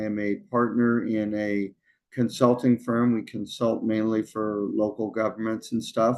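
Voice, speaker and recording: This man speaks at a moderate pace with an American accent, his intonation monotone and flat. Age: 60s. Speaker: consultant, former city manager. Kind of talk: interview. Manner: halting, many fillers.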